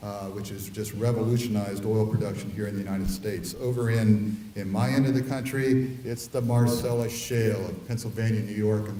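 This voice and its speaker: Amid noticeable background noise and audible room echo, a man talks at a fairly quick pace in a fairly low pitch with fairly even intonation. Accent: Midwestern US. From Ohio. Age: 60s. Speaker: oil and gas industry advocate. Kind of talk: conference talk. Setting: conference hall with audience. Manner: hesitant with frequent uh fillers.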